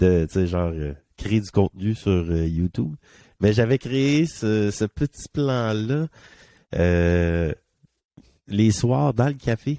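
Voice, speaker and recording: Speaking very slowly with long, frequent pauses, a man with a Quebec accent has a fairly low pitch and a dark, mellow tone, recorded with a dry, close sound with no echo and a very clean, silent background. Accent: Québécois French. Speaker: podcast co-host. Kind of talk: casual chat. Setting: studio.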